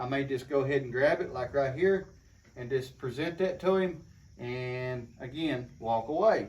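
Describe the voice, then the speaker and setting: His pitch varies in an ordinary way as this man talks at a moderate pace. There is a somewhat breathy quality to his voice. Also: medium pitch for a man. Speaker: horse trainer. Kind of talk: tutorial. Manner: soft-spoken.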